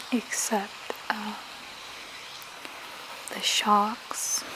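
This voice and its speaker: Someone whispers over noticeable background noise. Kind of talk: ASMR soft-spoken talk to camera. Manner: soft-spoken, slow.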